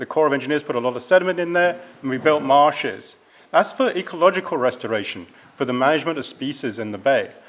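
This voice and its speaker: A man with a European accent talks at a fairly quick pace. His fairly high pitch shows ordinary pitch variation. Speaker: environmental scientist. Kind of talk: presentation.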